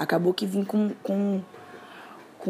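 Monotone, flat intonation at a moderate pace, with noticeable background noise. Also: woman. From Rio de Janeiro. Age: 20s. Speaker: poet and musician. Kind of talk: personal testimony. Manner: casual, hesitant with fillers.

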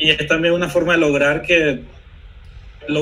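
A man is heard with audible room echo and noticeable background noise. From Venezuela. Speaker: software developer co-host. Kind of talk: technical discussion. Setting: live stream video call.

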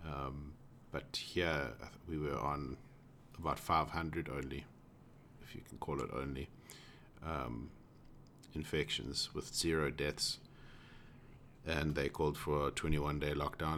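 A man's very deep, low voice with vocal fry, monotone, flat intonation, a very slow pace and long, frequent pauses. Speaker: podcast host, tech worker. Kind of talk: casual chat.

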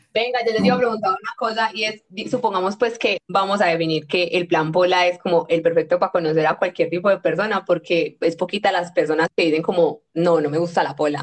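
With a normal speaking voice, a woman speaks at a fairly quick pace and fairly low pitch, her pitch varying in an ordinary way and hardly any pauses breaking her speech. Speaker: podcast host. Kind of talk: casual chat.

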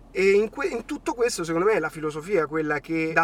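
With noticeable background noise behind him, a man's voice sits at a fairly high pitch. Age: 30s. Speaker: youtuber and entrepreneur.

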